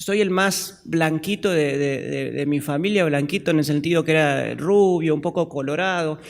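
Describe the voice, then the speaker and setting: A man with an Argentine accent, fairly high in pitch, with fairly even intonation at a moderate pace. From Argentina. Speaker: pastor. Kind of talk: sermon. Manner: halting.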